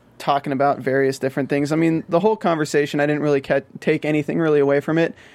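A man at a fairly high pitch and very fast pace, with an American accent, over a quiet background. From US South. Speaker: TV after-show co-host. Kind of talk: casual chat. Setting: studio.

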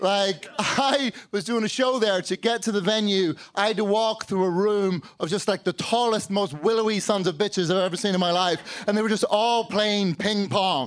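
Speaking with an American accent, a man keeps a moderate pace and very even loudness, his high voice showing ordinary pitch variation with hardly any pauses. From Northern Ireland and London. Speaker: comedian. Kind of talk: stand-up comedy. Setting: stage with live audience.

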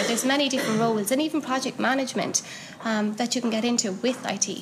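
Amid noticeable background noise and audible room echo, a woman talks at a very fast pace with fairly even intonation. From Ireland, Cork. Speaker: technical writer and meetup organiser. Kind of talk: interview. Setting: at a conference.

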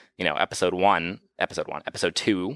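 On a very clean recording with a silent background and a dry, close sound with no echo, a man speaks very fast at a fairly low pitch, his tone bright and sharp, with ordinary pitch variation. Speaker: podcast host. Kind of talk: casual chat, live commentary. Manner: informal, jokey.

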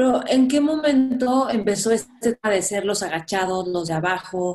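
This voice has ordinary pitch variation and speaks with a Mexican accent. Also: woman. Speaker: podcast host. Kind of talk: interview conversation.

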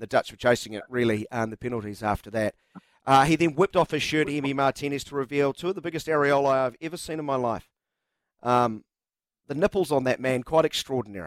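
A man speaks very fast with a New Zealand accent, his pitch fairly high. The sound is dry and close, with no echo. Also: ordinary pitch variation. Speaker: radio sports host. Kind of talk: live radio chat. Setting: studio.

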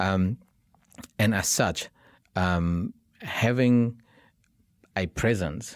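A man with a Vietnamese accent speaks at a very deep, low pitch with ordinary variation. The recording is very clean, with a silent background. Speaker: tech entrepreneur. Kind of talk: interview. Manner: hesitant, many fillers.

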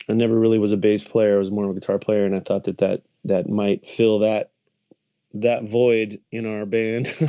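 Speaking with an American accent, a man keeps a moderate pace and a fairly low pitch in a monotone, flat intonation. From US West, Las Vegas. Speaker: rock singer and musician. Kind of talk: casual interview chat.

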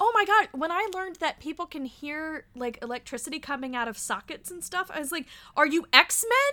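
A woman's raised, projected voice at an extremely high pitch, bright and sharp in tone, with very wide pitch swings, big swings in loudness, a moderate pace and hardly any pauses. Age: 30s. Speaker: podcast host. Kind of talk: casual interview chat. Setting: video call. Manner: halting.

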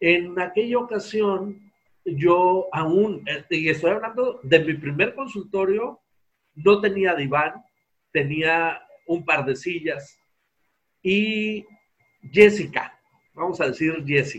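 A man speaks at a very slow pace, with long, frequent pauses. His voice sits high, with ordinary pitch variation. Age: 50s. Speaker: psychologist and hypnotherapist. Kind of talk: interview conversation.

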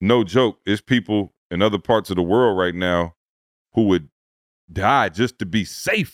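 Fairly slow speech from a man, fairly low in pitch with ordinary pitch variation and very even loudness, in a very clean recording with a silent background and a dry, close sound free of echo. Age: 40s. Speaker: podcast host. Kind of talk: casual chat.

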